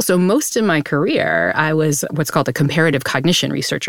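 A woman with an American accent, very deep and low in pitch, with vocal fry, ordinary pitch variation and a very fast pace. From US Northeast, New Bedford, Massachusetts. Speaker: psychology professor and podcast host. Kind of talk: casual interview chat.

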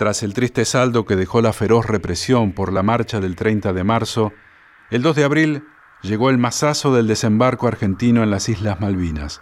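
This man has a normal speaking voice at a medium pitch, with ordinary pitch variation. His pace is moderate. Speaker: documentary narrator. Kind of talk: scripted narration.

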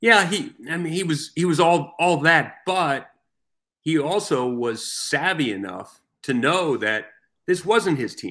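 On a very clean recording with a silent background, a man with an American accent speaks at a fairly slow pace, his fairly high, bright, sharp voice showing lively intonation and vocal fry. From New York area. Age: 60s. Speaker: newspaper sports columnist. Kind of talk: casual interview.

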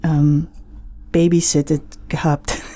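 Very slow and flat in a monotone, a woman speaks with a very deep, low pitch and a dark, mellow tone. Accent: English. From United States. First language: English (speaking German). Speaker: singer-songwriter. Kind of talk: radio interview.

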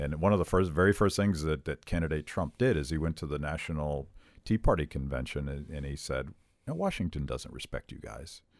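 Talking at a fairly quick pace, a man with a very deep, low pitch and vocal fry uses ordinary pitch variation in a very clean recording with a silent background. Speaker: podcast host. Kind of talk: casual interview chat.

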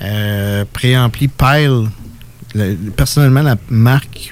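Speaking at a very slow pace with long, frequent pauses, a man keeps a medium pitch and ordinary pitch variation. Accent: Quebec. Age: 40s. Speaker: guitarist and vinyl collector. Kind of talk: casual chat. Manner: halting, repeats words.

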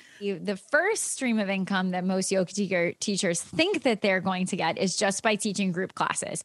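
The voice is an ordinary speaking voice. It moves at a moderate pace. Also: woman. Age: 30s. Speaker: yoga teacher and essential oils business leader. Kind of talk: interview.

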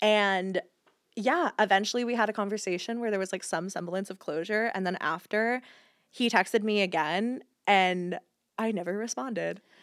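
Recorded very cleanly against a silent background, a woman with an American accent uses a plain, everyday voice at a medium pitch and moderate pace, with ordinary pitch variation. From US South, rural Georgia. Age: 30s. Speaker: content creator. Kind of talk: casual chat.

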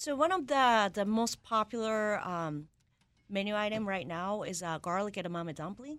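A woman speaks with a Japanese accent at a moderate pace. Her medium-pitched voice has lively intonation. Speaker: executive chef. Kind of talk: interview.

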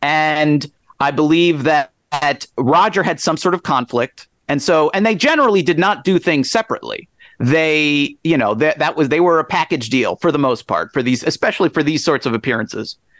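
An unremarkable speaking voice with an American accent moves at a moderate pace with ordinary pitch variation and very even loudness, in a very clean recording with a silent background and a dry, close sound with no echo. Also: man, fairly high pitch for a man. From suburban New Jersey. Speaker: author. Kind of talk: interview.

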